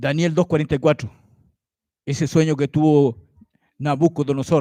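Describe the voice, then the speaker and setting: A man is heard in a dry, close sound with no echo. The background is quiet. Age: 60s. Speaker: lay preacher. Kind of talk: sermon. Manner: animated.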